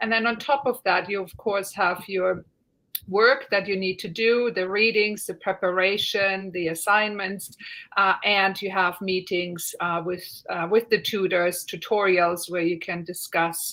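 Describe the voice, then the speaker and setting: A woman with a German accent, medium-pitched and bright and sharp in tone, at a fairly slow pace with fairly even intonation. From Germany. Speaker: university lecturer. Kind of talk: online Q&A panel.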